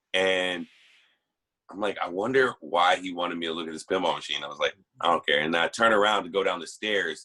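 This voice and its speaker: A man's fairly low voice in an American accent, fairly quick, with ordinary pitch variation. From Texas. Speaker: panelist. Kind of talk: group discussion. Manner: loud.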